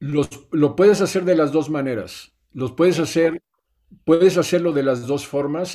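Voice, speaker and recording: A man speaks in a fairly high pitch with a dark, mellow tone and ordinary pitch variation. The recording is very clean, with a silent background. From Mexico, Oaxaca. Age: 60s. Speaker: regenerative farmer. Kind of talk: interview.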